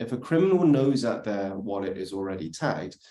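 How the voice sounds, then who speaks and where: Using lively intonation and a dark, mellow tone, a man speaks at a moderate pace. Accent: British. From UK. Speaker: industry speaker on crypto compliance. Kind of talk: workshop presentation.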